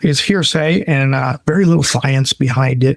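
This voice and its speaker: Somewhat breathy, a man talks at a moderate pace and fairly high pitch with ordinary variation. The sound is dry and close, with no echo. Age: 60s. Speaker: pet food sales executive. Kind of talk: podcast interview.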